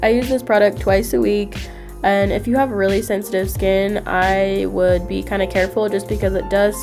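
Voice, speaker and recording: A woman talks at a moderate speed. Behind her, music is playing. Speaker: beauty vlogger. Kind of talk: casual talk to camera.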